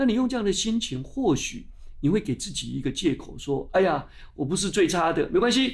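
This man's pitch swings very widely. His delivery moves at a moderate pace. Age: 60s. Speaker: science magazine publisher. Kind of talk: interview. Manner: animated.

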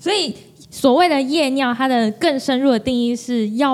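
Animated and lively in intonation, a woman with a high pitch speaks fairly slowly over noticeable background noise. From Taiwan, Kaohsiung. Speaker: podcast co-host. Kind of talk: casual chat. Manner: animated, laughing often.

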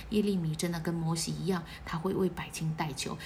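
Amid noticeable background noise and audible room echo, a woman speaks at a fairly quick pace in a fairly low voice with an animated tone. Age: 40s. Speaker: church member leading weekly bulletin study. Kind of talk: bible study talk.

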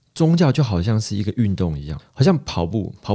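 The dark, mellow tone comes through on a very clean recording with a silent background. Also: man. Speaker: podcast host, psychology graduate student. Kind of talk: casual chat.

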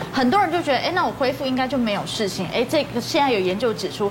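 With very wide pitch swings, a woman's high voice comes through audible room echo and noticeable background noise. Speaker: media commentator. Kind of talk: TV talk show discussion.

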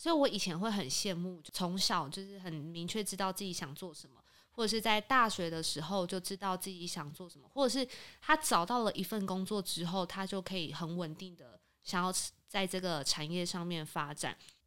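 With an ordinary speaking voice, a woman talks at a moderate pace and medium pitch with ordinary pitch variation and big swings in loudness on a very clean recording with a silent background. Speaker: insurance broker. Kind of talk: casual chat.

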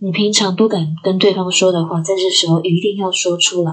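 Here a woman uses a plain, everyday voice at medium pitch. She speaks at a fairly slow pace with ordinary pitch variation. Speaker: podcast host, aromatherapy and NLP teacher. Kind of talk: solo podcast monologue. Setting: recording alone at home.

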